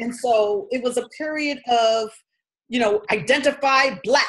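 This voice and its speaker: A woman with an American accent speaks in a fairly high voice with lively intonation. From New York City (Queens, Harlem). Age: 60s. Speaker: spiritual healer. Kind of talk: personal testimony. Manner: casual, conversational.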